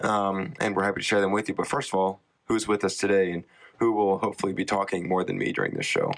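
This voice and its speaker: A man rattles along at a very fast pace, his intonation fairly even. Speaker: student radio host. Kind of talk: casual radio talk.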